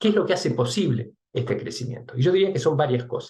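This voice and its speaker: Lively in intonation and somewhat breathy, a man speaks at a fairly quick pace. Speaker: research and development director giving a talk. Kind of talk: webinar presentation. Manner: fast.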